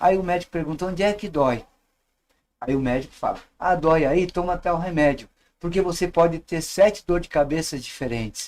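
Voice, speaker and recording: A man talks at a moderate speed in a high pitch, his pitch varying in an ordinary way. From São Paulo, Brazil. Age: 60s. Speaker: professor and witchcraft teacher. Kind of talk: podcast interview.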